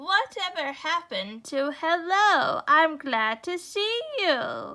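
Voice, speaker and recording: A woman puts on a character voice with a warm tone and an extremely high pitch. Her pitch swings very widely as she speaks at a very slow pace. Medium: read story. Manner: warm, gently correcting.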